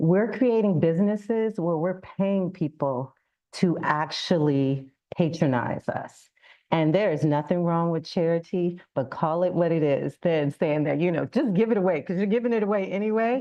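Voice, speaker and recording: With a fairly low pitch and lively intonation, a woman talks in a normal speaking voice. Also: moderate pace. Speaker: business consultant. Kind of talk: public talk.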